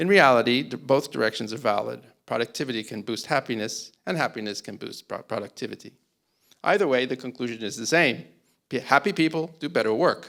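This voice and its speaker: A man speaks with an American accent at a medium pitch and a fairly quick pace. His intonation is lively. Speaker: panel moderator. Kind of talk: conference opening talk. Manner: hesitant, with fillers.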